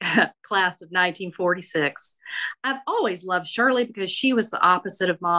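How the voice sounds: A natural reading voice with ordinary pitch variation. The background is quiet.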